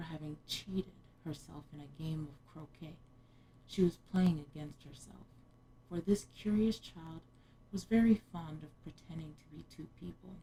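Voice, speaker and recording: A woman's very deep, low voice with a dark, mellow tone, somewhat breathy, at a moderate pace, with ordinary pitch variation, big swings in loudness, and long, frequent pauses. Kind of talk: ASMR bedtime story reading. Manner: whispered, soft-spoken.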